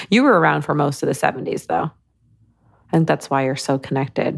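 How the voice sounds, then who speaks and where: A woman speaks with a Midwestern American accent and vocal fry. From US Midwest, Michigan. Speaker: psychic medium. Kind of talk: casual chat. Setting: video call.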